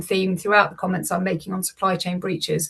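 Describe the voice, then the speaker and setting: A somewhat breathy woman with a British accent, medium pitch, a very fast pace and fairly even intonation. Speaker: lawyer presenting cyber incident data. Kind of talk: webinar presentation.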